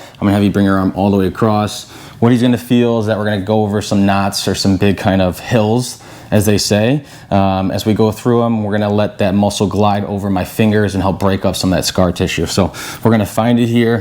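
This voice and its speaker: A man talks fairly quickly at a fairly low pitch, his intonation monotone and flat. His loudness stays very even over noticeable background noise. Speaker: chiropractor. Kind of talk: casual talk to camera. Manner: calm, instructional.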